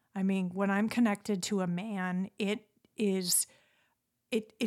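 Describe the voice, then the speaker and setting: Fairly even intonation comes at a moderate pace in a very clean recording with a silent background. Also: woman. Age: 40s. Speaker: podcast host, life coach. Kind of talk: casual chat.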